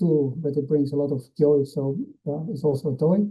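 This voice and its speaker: Fairly quick and somewhat breathy, a man with a fairly high pitch talks with ordinary pitch variation. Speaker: veterinary internal medicine specialist. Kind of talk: lecture. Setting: webinar. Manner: fast; hesitant, many uh fillers.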